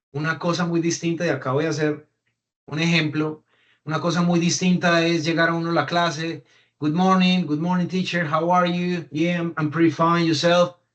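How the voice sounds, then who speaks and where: A man with a Colombian accent, high-pitched, at a moderate pace, in a flat monotone. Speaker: reliability engineer. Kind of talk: online talk.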